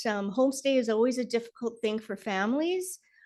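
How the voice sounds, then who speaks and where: Behind this woman, the background stays quiet. She moves at a moderate pace, her pitch varying in an ordinary way. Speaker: school board member. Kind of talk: board meeting discussion. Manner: loud.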